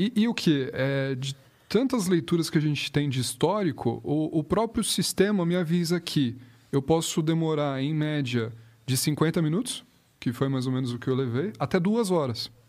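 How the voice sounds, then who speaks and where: In a plain, everyday voice, a man speaks at a fairly high pitch and moderate pace with lively intonation, on a very clean recording with a silent background. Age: 20s. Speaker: project manager in the automotive industry. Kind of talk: casual chat.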